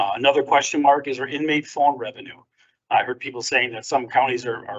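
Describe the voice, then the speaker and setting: At a very fast pace, a man with fairly high pitch talks with fairly even intonation and big swings in loudness. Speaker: sheriff presenting department budget. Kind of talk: budget presentation to county board.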